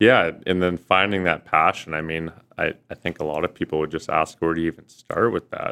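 The speaker has a Canadian accent. The pace is fairly quick. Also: man, very deep, low pitch for a man, fairly even intonation. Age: 20s. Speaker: law student. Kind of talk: casual chat.

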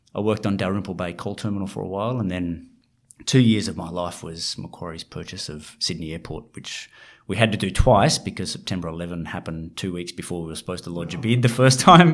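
Over a very clean recording with a silent background, a man with an Australian accent talks at a very fast pace in a very deep, low pitch, with ordinary pitch variation and big swings in loudness. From rural Australia. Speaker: fund manager. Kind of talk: interview.

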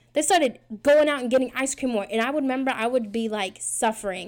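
Very fast and animated, a woman talks at a fairly high pitch in a very clean recording with a silent background. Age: 20s. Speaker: podcaster. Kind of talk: casual solo podcast monologue. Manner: fast talker; rambling, animated, self-deprecating.

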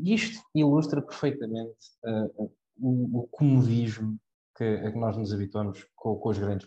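A man with an unremarkable speaking voice holds a medium pitch, varies it in an ordinary way, and keeps a moderate pace. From Portugal, Cascais. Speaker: university student. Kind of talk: casual chat.

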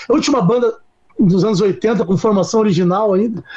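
Male speech pitched high, moderately paced, with ordinary variation in pitch. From Curitiba, southern Brazil. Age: 40s. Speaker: rock musician. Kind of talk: casual interview chat.

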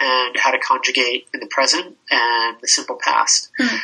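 A man with an American accent speaks at a fairly quick pace amid noticeable background noise. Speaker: hotel owner. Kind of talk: interview.

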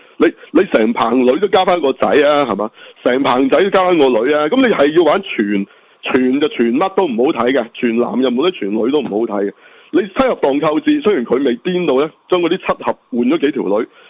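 Animated and fairly quick, a man speaks with very wide pitch swings. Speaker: podcast co-host. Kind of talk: casual chat.

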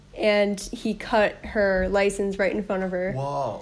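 A woman speaks with a Chicago accent. Her pitch is medium and her pace fairly slow. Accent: Chicago American. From US, Chicago. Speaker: traveler. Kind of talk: casual chat.

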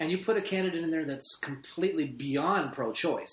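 At a moderate pace, a man with a normal speaking voice and a fairly high pitch speaks with ordinary pitch variation. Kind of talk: casual chat.

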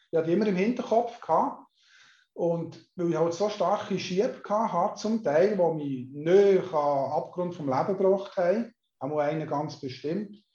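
At a moderate pace, a man talks in a high voice with a dark, mellow tone and ordinary pitch variation. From Switzerland, canton Solothurn. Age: 50s. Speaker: hypnotherapist and mental coach. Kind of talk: interview.

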